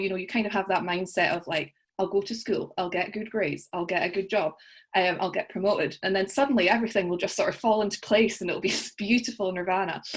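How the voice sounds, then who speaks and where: Speaking at a very fast pace, a woman uses a medium pitch with ordinary pitch variation. She has a Scottish accent. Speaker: coaching client. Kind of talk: interview.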